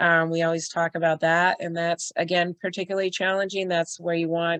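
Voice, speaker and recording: In an unremarkable speaking voice, a woman talks with fairly low pitch and fairly even intonation, the sound dry and close with no echo against a quiet background. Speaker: emergency shelter trainer. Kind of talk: online training presentation. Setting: video call. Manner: casual, filler-heavy.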